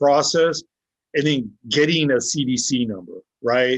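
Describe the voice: A man speaks at medium pitch. His pitch variation is ordinary.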